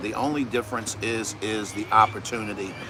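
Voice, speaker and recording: Against noticeable background noise, a man with an American accent talks at a fairly quick pace with ordinary pitch variation. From US Northeast. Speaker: podcast co-host. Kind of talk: casual chat. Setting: live stream.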